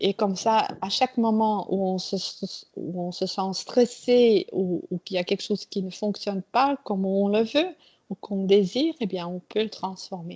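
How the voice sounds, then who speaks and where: At a fairly slow pace, a woman speaks with a medium pitch and ordinary pitch variation. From Belgium (Flemish). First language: Dutch (speaking French). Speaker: trainer. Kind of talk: interview. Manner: halting.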